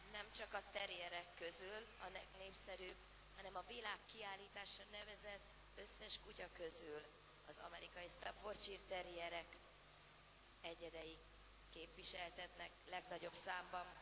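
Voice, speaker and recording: A woman talks at a moderate pace in a monotone, flat intonation. Noticeable background noise runs behind her. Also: medium pitch for a woman. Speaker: dog show ring announcer and interpreter. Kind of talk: live commentary. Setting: PA system at dog show arena. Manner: formal.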